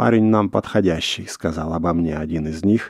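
His pitch rises and falls in an ordinary way. The man's voice is very deep and low.

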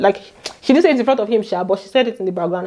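A woman with a Nigerian accent speaks in a fairly high pitch with lively intonation and an animated tone. The background is quiet. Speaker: YouTuber recapping reality TV. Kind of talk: chatty gossip recap vlog. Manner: animated, laughs often. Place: home room. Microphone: lapel.

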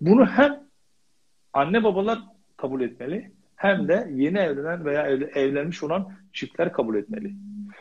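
His pitch swings very widely. The man keeps a moderate pace. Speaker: family and marriage counselor; guest. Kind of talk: interview. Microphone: connection dropped, video froze; video call.

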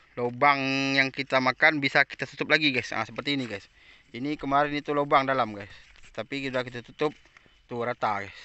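A man speaks at a moderate pace with a monotone, flat intonation. The sound is dry with no echo. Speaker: tin miner vlogger. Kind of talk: casual vlog chat. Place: open country. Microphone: phone near.

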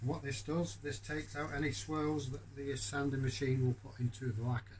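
A man talks at a fairly quick pace with fairly even intonation. His voice is somewhat breathy, with light background noise behind it. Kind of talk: tutorial. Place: workshop. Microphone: phone near.

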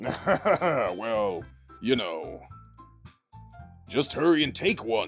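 A put-on character voice moves at a very slow pace with very wide pitch swings and long, frequent pauses, as faint music plays in the background. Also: man, medium pitch for a man. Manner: sour, defensive.

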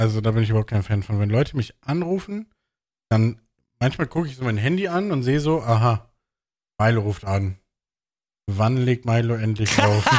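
A man at a medium pitch with ordinary pitch variation, moderate pace and long, frequent pauses, over a quiet background. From northern Germany, Bremen; Germany. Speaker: podcast host. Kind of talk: casual chat. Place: home room. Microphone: studio mic.

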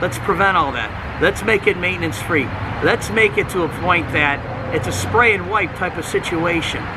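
At a moderate pace, a man talks with an American accent over noticeable background noise. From Cleveland, Ohio, US Midwest. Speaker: auto detailer. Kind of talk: tutorial. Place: street. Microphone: camera far.

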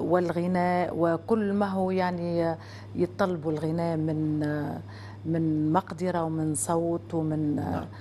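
A woman's fairly low-pitched voice at a very slow pace, with ordinary pitch variation and light background noise. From Tunisia. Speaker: singer guest. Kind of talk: casual interview. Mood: reflective, expressive gestures. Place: studio.

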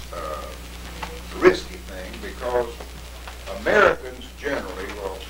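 Noticeable background noise sits behind the voice. A man speaks at a fairly slow pace. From Tennessee. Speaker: World War II veteran. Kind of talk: lecture to schoolchildren. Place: classroom. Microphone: camera far.

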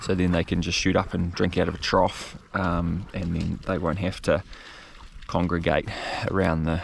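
At a moderate pace, a man speaks with a very deep, low pitch and monotone, flat intonation, in a dry sound with no echo and light background noise. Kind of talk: casual vlog chat. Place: open country. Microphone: phone near.

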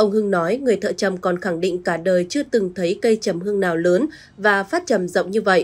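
Recorded very cleanly with a silent background, a woman with an ordinary speaking voice speaks at a medium pitch and a fairly quick pace. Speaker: news presenter. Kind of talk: news reading. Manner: formal.

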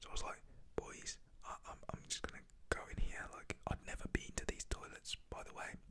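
Someone whispers at a moderate pace. The whisper carries a British accent. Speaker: ASMR YouTuber storyteller. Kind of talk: whispered ASMR storytime. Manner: soft-spoken, whispery.

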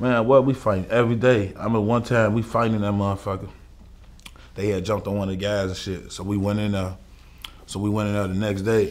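Speaking very fast, a man uses a fairly low pitch and a monotone, flat intonation. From Chicago, east side. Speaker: rapper; interview guest. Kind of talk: casual interview. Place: studio.

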